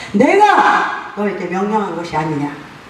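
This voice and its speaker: A woman talks at a fairly slow pace with very wide pitch swings, and there is noticeable background noise along with audible room echo. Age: 70s. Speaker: pastor. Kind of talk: congratulatory speech at church founding ceremony.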